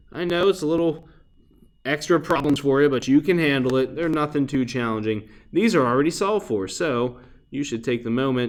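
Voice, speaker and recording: Fairly quick and fairly high in pitch, this man has an unremarkable speaking voice with ordinary pitch variation. The recording is very clean, with a silent background. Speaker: math teacher. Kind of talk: recorded lesson tutorial. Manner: casual.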